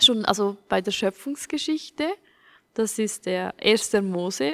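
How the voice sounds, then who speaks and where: A woman speaks at a medium pitch, and the sound is dry and close with no echo. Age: 20s. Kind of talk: casual chat.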